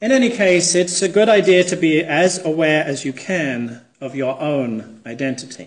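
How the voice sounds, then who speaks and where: A man speaks at a moderate pace in a fairly high pitch, his intonation lively. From England. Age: 40s. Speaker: minister. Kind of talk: sermon. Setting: church.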